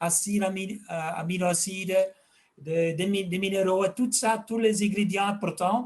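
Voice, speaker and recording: Fairly slow speech with ordinary pitch variation. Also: man. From Flanders, Belgium. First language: Dutch (speaking French). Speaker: fish health expert and fish food maker. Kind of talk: interview. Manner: halting, with repetitions.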